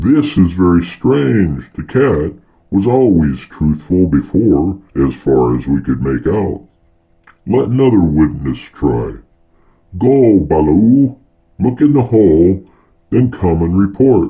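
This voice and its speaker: Using a put-on character voice, a man speaks very deep and low at a fairly slow pace, with very wide pitch swings. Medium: read story. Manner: regal, commanding.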